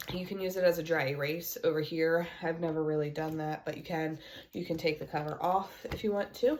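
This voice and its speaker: Fairly quick speech with fairly even intonation amid noticeable background noise. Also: woman. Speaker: homeschooling mom and homesteader vlogger. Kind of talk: casual tutorial show-and-tell. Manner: casual with filler words.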